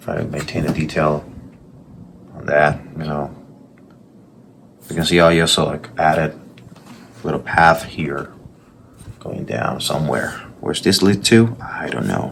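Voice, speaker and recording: Speaking with a strong Puerto Rican accent, a man with a very deep, low pitch and ordinary pitch variation talks at a fairly slow pace with long, frequent pauses and big swings in loudness over noticeable background noise. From Puerto Rico. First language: Spanish. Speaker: artist. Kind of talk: casual vlog commentary while drawing. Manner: passionate.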